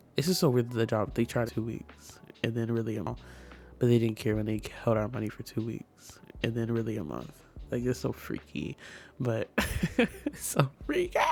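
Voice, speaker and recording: Over background music, a man speaks at a moderate pace with long, frequent pauses. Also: medium pitch for a man, ordinary pitch variation. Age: 20s. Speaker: sims builder and content creator. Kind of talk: casual gaming voiceover. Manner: chatty, rambling.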